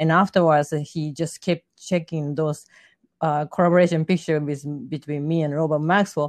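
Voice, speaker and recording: A woman with a Japanese accent speaks at a moderate pace in a very deep, low pitch and monotone, flat intonation. The sound is dry and close with no echo, over a quiet background. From Japan, Yokohama. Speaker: fashion model and artist. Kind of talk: interview.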